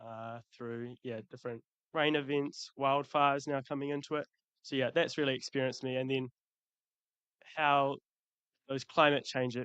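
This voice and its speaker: In a New Zealand accent, a man talks at a moderate pace and medium pitch with a monotone, flat intonation, long, frequent pauses, and a dry, close sound with no echo. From New Zealand, Christchurch. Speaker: youth climate advocate. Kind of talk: panel discussion. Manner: halting, many fillers.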